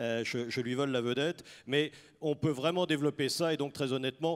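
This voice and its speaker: On a very clean recording with a silent background and a dry, close sound with no echo, a man speaks at a fairly quick pace in a fairly high pitch with fairly even intonation. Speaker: business leader and employers' federation representative. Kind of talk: panel discussion. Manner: hesitant, with many fillers.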